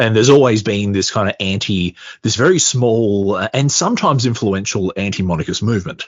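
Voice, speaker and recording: Speaking with an Australian accent, a man with a fairly low pitch talks at a fairly quick pace with ordinary pitch variation. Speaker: podcaster. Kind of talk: casual chat.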